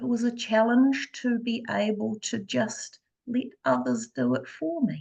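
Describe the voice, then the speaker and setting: A soft-spoken woman at a fairly slow pace. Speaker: energy healer; mother. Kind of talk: interview.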